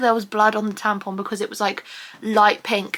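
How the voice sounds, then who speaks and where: This woman speaks with an English accent. Her tone is animated. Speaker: vlogger. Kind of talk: casual vlog talk.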